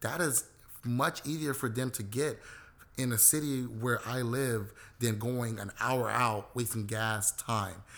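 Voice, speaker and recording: An unremarkable speaking voice, this man's medium pitch carries ordinary pitch variation at a fairly slow pace with an American accent. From South Central Los Angeles. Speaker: CBD company co-founder. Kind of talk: interview. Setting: on location in Boyle Heights.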